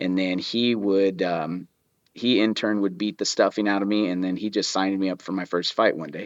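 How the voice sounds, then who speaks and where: This man's fairly low voice stays flat and monotone at a moderate pace. The sound is dry and close with no echo, over a quiet background. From New Mexico. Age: 40s. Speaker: MMA trainer and mindset coach. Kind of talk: casual chat.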